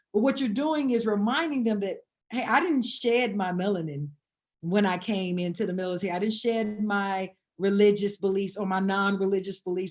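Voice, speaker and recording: This woman has a medium-pitched voice and an American accent. Her pitch varies in an ordinary way. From US South, Atlanta, Georgia. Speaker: combat veteran. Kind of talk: podcast interview. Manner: halting, repeats words.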